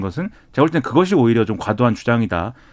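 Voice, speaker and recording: Speaking at a very fast pace, a man swings his pitch very widely. The recording is very clean, with a silent background. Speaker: political commentator. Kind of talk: radio panel discussion. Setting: studio.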